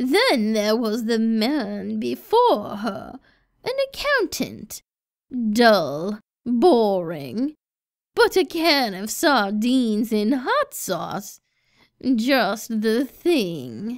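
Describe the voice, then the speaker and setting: Over a silent background on a very clean recording, a woman speaks very slowly at a fairly high pitch with lively intonation. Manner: sweet grandmotherly turning menacing.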